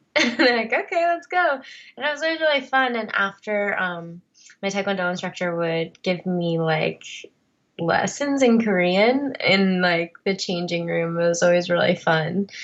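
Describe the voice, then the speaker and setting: Speaking with an American accent at a medium pitch, a woman uses lively intonation at a moderate pace in a plain, everyday voice. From US Northeast (New Jersey). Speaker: adoptee and actress. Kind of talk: interview. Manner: casual, conversational.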